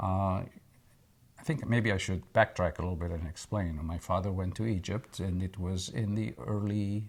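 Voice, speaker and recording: A man speaks at a moderate pace with a very deep, low pitch and a somewhat breathy quality. His pitch varies in an ordinary way, and the recording is very clean with a silent background. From Egypt. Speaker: oral history interviewee. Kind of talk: interview answer.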